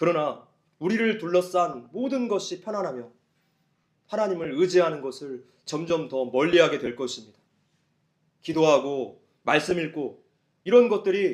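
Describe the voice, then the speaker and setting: A man's high-pitched voice at a fairly slow pace, broken by long, frequent pauses. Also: big swings in loudness. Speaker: pastor. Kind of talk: sermon.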